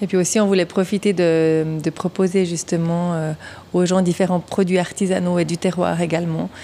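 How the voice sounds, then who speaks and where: The woman's voice has a dark, mellow tone and a fairly low pitch. She keeps a moderate pace with monotone, flat intonation. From Switzerland, canton of Vaud. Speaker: craft brewery co-owner. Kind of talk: interview.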